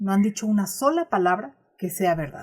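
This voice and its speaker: Moving at a moderate pace, a woman's voice is somewhat breathy. Her pitch swings very widely. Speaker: audiobook narrator. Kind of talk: audiobook reading of a classic text.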